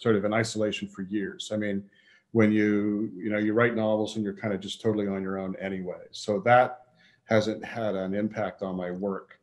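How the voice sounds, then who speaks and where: In a quiet background, a man with a fairly low pitch speaks at a moderate pace, his loudness swinging a lot. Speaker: podcast guest. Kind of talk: interview answer. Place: home room. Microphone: video call.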